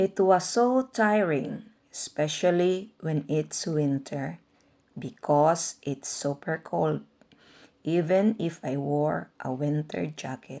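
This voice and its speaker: A woman speaks very slowly at a very deep, low pitch, with a dark, mellow tone and a Visayan accent. Her intonation is lively against a quiet background. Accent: Filipino (Visayan). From Philippines, Agusan (Mindanao). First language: Bisaya (Cebuano). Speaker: vlogger. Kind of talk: personal narration.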